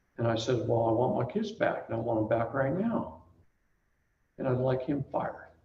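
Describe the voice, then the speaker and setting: Through audible room echo, a man with a medium-pitched voice and lively intonation talks at a moderate pace, pausing long and often. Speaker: seminar speaker on family court and CPS. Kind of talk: talk to a live audience. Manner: animated storytelling.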